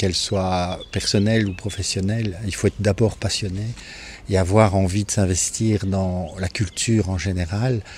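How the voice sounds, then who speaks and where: A man speaks at a fairly slow pace in a fairly low pitch, his intonation monotone and flat. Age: 60s. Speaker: architect and property owner. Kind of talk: interview. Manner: hesitant, many fillers.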